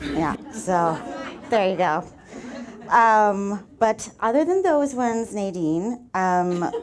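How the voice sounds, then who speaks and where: Over crowd noise and audible room echo, a woman speaks very slowly at a medium pitch with lively intonation. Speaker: acupuncturist, speaker. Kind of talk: inspirational talk. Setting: stage with audience.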